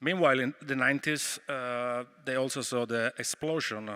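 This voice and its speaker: A man speaks with an Italian accent at a medium pitch, his tone bright and sharp. His intonation stays fairly even, and the recording is very clean with a silent background. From Italy, Rome. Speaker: activist. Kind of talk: conference talk. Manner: hesitant, many fillers.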